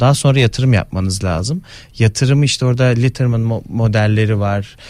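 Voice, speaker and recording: This man has an ordinary speaking voice at a medium pitch. His pitch varies in an ordinary way. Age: 30s. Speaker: economist. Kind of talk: interview.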